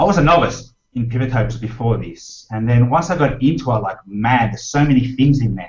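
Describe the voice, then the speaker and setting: Speaking at a moderate pace in an Australian accent, a man with a medium pitch sounds somewhat breathy, with ordinary pitch variation. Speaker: Excel trainer and blogger. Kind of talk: interview.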